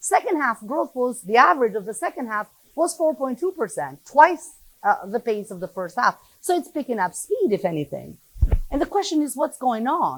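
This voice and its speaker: A woman speaks loudly at a moderate pace. Her pitch is high, with very wide swings. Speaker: economist. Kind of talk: lecture.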